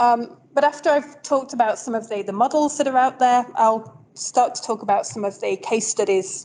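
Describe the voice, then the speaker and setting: A woman speaks high and lively with a northern English accent. She barely pauses at all. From northern England. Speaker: professor. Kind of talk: lecture. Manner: fast.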